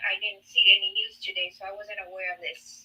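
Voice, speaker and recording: A woman is speaking. Her pace is moderate. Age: 60s. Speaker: caller. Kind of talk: live debate call-in. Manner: halting.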